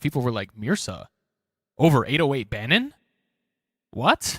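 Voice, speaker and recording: A man's fairly high, bright, sharp voice in an American accent at a moderate pace, with a dry, close sound, no echo, and a very clean recording over a silent background. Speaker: beatboxer. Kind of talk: commentary on own battle replay. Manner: casual, repetitive.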